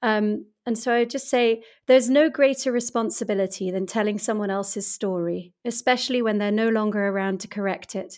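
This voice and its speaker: A woman talks at a fairly quick pace with a British accent. Her voice sits fairly high, and her intonation stays fairly even. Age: 40s. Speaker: author and business coach. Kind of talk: interview. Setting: home studio, remote recording.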